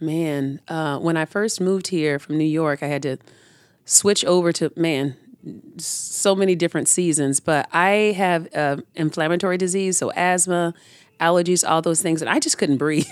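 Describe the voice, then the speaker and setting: An unremarkable speaking voice with an American accent, fairly even intonation and a moderate pace, in a very clean recording with a silent background. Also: woman, fairly low pitch for a woman. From Tampa, Florida. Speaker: urban community farmer. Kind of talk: interview.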